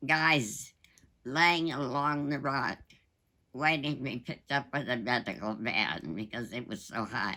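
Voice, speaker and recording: Woman's very deep, low voice with a bright, sharp tone and ordinary pitch variation, fairly slow with long, frequent pauses, on a very clean recording with a silent background. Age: 80s+. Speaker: war veteran. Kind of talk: interview answer.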